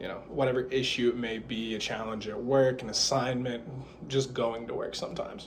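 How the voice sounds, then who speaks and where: There is audible room echo as a man talks at a fairly quick pace and medium pitch in a monotone, flat intonation. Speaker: student giving a class speech. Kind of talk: persuasive speech. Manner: halting, some stumbles.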